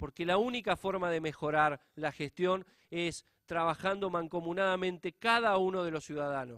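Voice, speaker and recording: On a very clean recording with a silent background, a man's high-pitched voice shows ordinary pitch variation in a dry, close sound with no echo. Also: moderate pace. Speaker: public auditor. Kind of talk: conference lecture.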